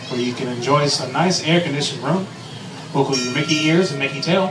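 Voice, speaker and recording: Music plays in the background while a man talks. His pace is very fast, with ordinary pitch variation. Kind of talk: ride spiel.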